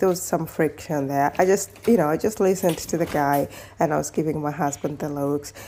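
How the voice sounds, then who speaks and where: A woman speaks with a dark, mellow tone. Her pitch is fairly low. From Kenya. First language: Kenyan mother tongue. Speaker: lifestyle vlogger. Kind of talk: casual vlog chat. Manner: conversational, with self-corrections.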